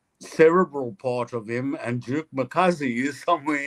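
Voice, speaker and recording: At a medium pitch, a man talks at a moderate pace. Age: 60s. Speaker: jazz bass player. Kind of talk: casual chat. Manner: halting.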